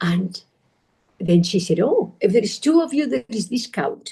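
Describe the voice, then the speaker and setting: A woman speaks with a Spanish accent in a dark, mellow, somewhat breathy tone. Her pace is moderate, with ordinary pitch variation. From Spain. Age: 40s. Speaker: meditation teacher. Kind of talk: talk. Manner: animated.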